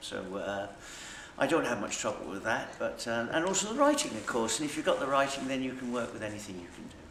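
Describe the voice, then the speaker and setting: Speaking at a very fast pace with big swings in loudness, a man with a Suffolk accent is heard through noticeable background noise and audible room echo. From Suffolk, England. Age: old. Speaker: actor. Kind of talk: interview.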